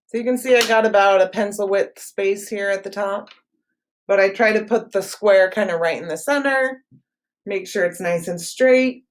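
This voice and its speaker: At a moderate pace, a woman with a medium pitch and ordinary pitch variation speaks in a plain, everyday voice. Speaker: art teacher. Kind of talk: tutorial.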